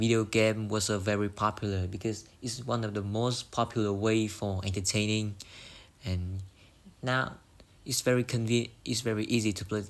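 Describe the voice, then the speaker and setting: A man's fairly low voice moves at a moderate pace, its intonation flat and monotone. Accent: Vietnamese. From Vietnam. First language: Vietnamese. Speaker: English learner. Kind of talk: speaking test practice. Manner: halting.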